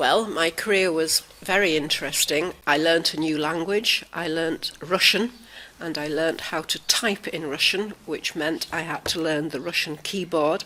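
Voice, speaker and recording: A woman speaks slowly-ish, at a fairly slow pace, in a Cumbrian accent with a fairly low pitch and fairly even intonation. Noticeable background noise sits behind her. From northern England, Barrow-in-Furness, Cumbria. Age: 70s. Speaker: retired linguist. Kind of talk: personal reminiscence.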